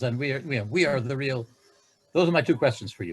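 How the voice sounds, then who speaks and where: Somewhat breathy, a man with an American accent talks with lively intonation. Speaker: conference audience member. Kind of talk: academic Q&A question. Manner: halting.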